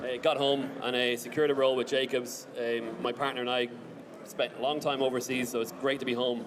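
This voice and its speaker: A man with an Irish accent speaks at a very fast pace. His medium-pitched voice stays monotone and flat. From Ireland. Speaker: BIM engineering team lead, conference speaker. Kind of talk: conference presentation.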